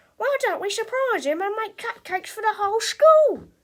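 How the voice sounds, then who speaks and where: A woman uses a squeaky, put-on character voice at an extremely high pitch, raised and projected, with lively intonation and a moderate pace. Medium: read story.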